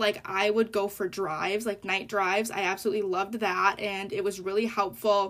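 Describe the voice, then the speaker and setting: In an ordinary speaking voice, a woman holds a medium pitch and a moderate pace. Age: 20s. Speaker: podcast host, college student. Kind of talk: casual monologue.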